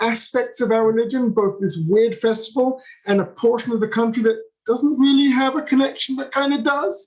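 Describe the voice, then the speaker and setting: In an English accent, a man speaks in an animated tone at an extremely high pitch with ordinary pitch variation. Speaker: tour guide. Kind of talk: virtual tour. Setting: video call. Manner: fast.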